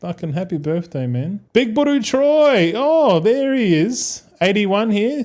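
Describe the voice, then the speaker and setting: A man's high-pitched voice with a Australian accent, very wide pitch swings and hardly any pauses. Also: fairly slow pace. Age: 30s. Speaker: gaming streamer. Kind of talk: casual chat.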